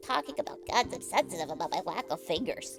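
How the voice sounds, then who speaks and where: A put-on character voice rattles along at a very fast pace. Clear music plays in the background. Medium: game stream. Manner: earnest, paranoid.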